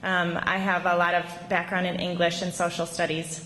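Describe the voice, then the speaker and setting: With a Minnesota accent, a woman speaks at a moderate pace and medium pitch, amid noticeable background noise and audible room echo. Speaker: teacher. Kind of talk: award acceptance speech. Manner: hesitant, many ums.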